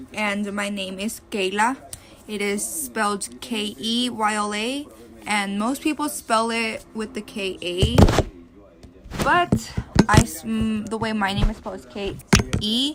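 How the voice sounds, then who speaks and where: A woman speaks at a fairly slow pace with a Spanish accent and a fairly high pitch. Noticeable background noise runs under her voice. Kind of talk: personal narrative.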